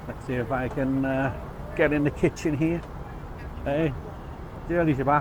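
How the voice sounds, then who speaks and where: Fairly even intonation in a Liverpool accent at a moderate pace, with long, frequent pauses and noticeable background noise. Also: man, fairly high pitch for a man. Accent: Liverpool (Scouse). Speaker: travel vlogger. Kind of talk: casual talk to camera. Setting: outdoors and in a bakery kitchen.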